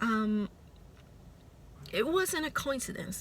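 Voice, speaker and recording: A woman with a Puerto Rican accent speaks at a very slow pace. Her tone is bright and sharp, her pitch fairly high. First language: Spanish. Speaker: spiritual vlogger. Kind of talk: casual monologue vlog. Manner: hesitant, with fillers.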